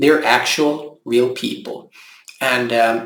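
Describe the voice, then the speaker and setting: Room echo can be heard as a man talks very slowly. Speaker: local election candidate. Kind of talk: campaign video monologue. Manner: calm, gentle.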